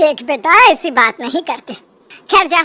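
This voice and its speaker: A woman puts on a squeaky, high-pitched cartoonish character voice. Her pitch swings very widely at a moderate pace. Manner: calm, gentle.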